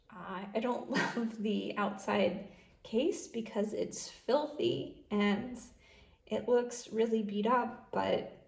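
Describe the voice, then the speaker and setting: The pitch of a woman's voice varies in an ordinary way. Echo from the room is audible. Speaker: beauty youtuber. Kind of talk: product review monologue. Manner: casual, many filler words.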